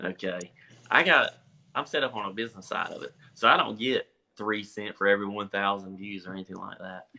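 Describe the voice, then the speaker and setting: A man with a strong North Carolina accent, fairly low in pitch, monotone and flat, at a fairly quick pace with big swings in loudness. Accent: strong rural North Carolina. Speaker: farmer and farm consultant. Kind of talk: interview on a livestream. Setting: social media live video call.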